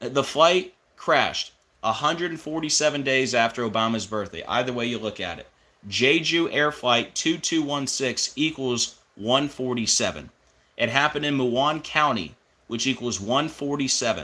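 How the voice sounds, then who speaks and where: A man speaks at a moderate pace in an animated tone that is bright and sharp, with ordinary pitch variation. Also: medium pitch for a man. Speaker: religious conspiracy video host. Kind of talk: monologue video commentary.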